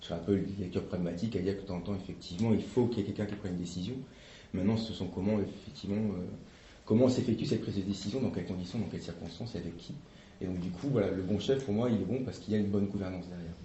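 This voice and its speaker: A man talks at a very fast pace, somewhat breathy. The room echo is audible. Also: fairly low pitch for a man. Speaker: association representative. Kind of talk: workshop presentation with discussion. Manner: hesitant, many fillers.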